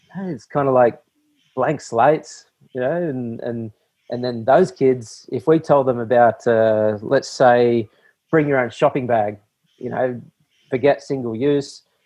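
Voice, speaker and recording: A man talks at medium pitch with an Australian accent. His pitch varies in an ordinary way. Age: 40s. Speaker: ocean cleanup founder. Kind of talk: interview.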